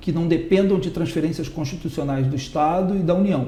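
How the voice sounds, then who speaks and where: A high-pitched man's voice with ordinary pitch variation and audible room echo. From Brazil, Rio de Janeiro. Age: 60s. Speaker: political candidate. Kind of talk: interview.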